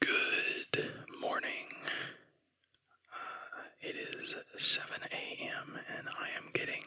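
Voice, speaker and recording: A man whispers. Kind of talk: ASMR gaming commentary, whispered ramble. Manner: whispered, soft-spoken.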